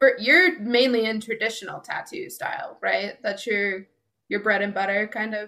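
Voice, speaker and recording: At a moderate pace, a woman speaks in an unremarkable speaking voice, fairly high-pitched with lively intonation. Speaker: podcast co-host. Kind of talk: casual interview chat.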